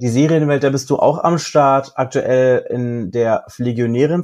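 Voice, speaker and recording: With fairly even intonation, a man talks in a normal speaking voice pitched fairly high. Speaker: podcast co-host. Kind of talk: casual chat.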